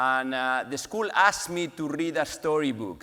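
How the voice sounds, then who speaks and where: A man's fairly high voice with a bright, sharp tone. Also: very clean recording, silent background. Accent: strong Spanish. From Spain, Valencia. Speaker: pharmaceutical executive, award honoree. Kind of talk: award acceptance speech. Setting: stage with audience.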